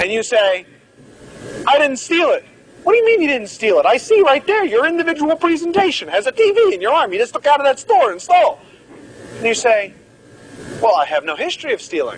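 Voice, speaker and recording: Amid noticeable background noise, a man speaks at a fairly quick pace in an extremely high voice, his pitch swinging very widely, with long, frequent pauses. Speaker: medical lecturer. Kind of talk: lecture. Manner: animated.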